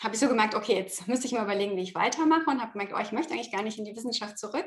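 The speaker is a woman. Her intonation is lively. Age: middle-aged. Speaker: yoga teacher and former biologist. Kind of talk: casual interview.

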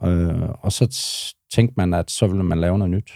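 In a dry, close recording with no echo, a man speaks at a fairly slow pace with a very deep, low pitch and a dark, mellow tone. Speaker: bouncer and social worker. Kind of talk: casual interview chat.

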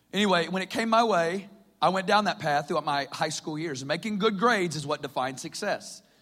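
A man speaks in a Southern US accent at a fairly quick pace, his high-pitched voice bright and sharp. His intonation is lively, and the recording is very clean with a silent background. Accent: Southern American. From US South, Northwest Arkansas. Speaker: preacher. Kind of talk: sermon.

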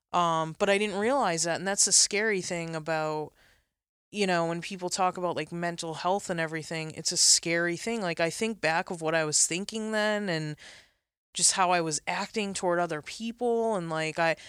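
A woman speaks in an ordinary speaking voice, fairly low-pitched, at a moderate pace with ordinary pitch variation, on a very clean recording with a silent background. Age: 30s. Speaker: photographer. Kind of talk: interview. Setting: studio.

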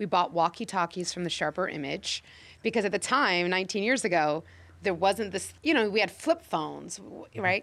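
In a very clean recording with a silent background, a woman with an American accent speaks at a moderate pace and medium pitch, with an energetic tone, vocal fry and ordinary pitch variation. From US Midwest, Chicago. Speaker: casting director. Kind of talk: interview. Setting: office at a studio lot.

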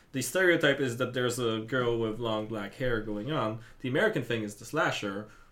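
A man with a medium pitch speaks in a playful tone at a fairly quick pace with hardly any pauses, over noticeable background noise. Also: ordinary pitch variation. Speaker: podcast host. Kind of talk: casual banter. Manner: joking, playful.

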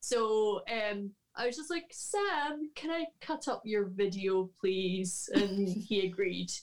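A woman with a Scottish accent speaks at a very slow pace in a fairly high pitch, with hardly any pauses. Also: lively intonation. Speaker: harpist and harp teacher. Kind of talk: casual interview chat.

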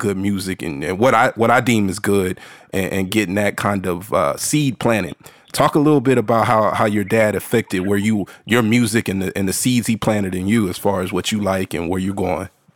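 A man with an ordinary speaking voice talks at a fairly quick pace in a fairly low pitch with ordinary pitch variation. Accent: American. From Texas, San Antonio. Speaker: podcast host. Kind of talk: casual interview.

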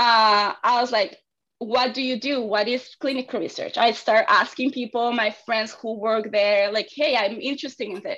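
A woman speaks with a Spanish accent at a moderate pace, her pitch fairly high. Her tone is bright and sharp, her intonation fairly even. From Argentina. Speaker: clinical research intern. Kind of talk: interview.

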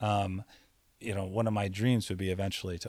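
With a very deep, low pitch and an American accent, a man speaks in a monotone, flat way. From US Virgin Islands. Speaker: former monk, chef and massage therapist. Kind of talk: casual interview conversation.

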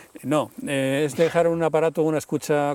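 A man is the speaker here. He sounds dark and mellow. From Madrid, Spain. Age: 60s. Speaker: nature sound recordist. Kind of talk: casual interview conversation. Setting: outdoors in a forest.

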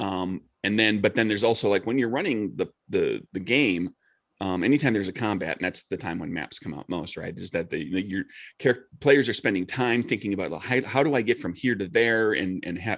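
In a normal speaking voice, a man talks at a fairly quick pace with fairly low pitch and ordinary pitch variation against a quiet background. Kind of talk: casual chat.

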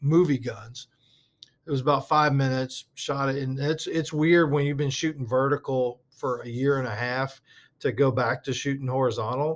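In an American accent, a man with a plain, everyday voice speaks at a fairly high pitch with fairly even intonation. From Southeast Texas (Port Arthur area, near Louisiana border). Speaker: art director and prop master. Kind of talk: casual chat. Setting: at the office.

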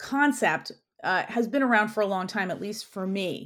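A woman with an American accent talks at a fairly quick pace in a normal speaking voice with lively intonation, on a very clean recording with a silent background. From New York City (Queens). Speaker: orthopedic surgeon. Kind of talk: interview.

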